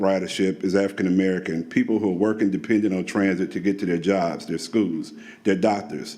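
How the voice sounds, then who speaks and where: The pace here is fairly quick. It is an unremarkable speaking voice, with ordinary pitch variation. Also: man. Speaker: public commenter at transit meeting. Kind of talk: public comment. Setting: public meeting.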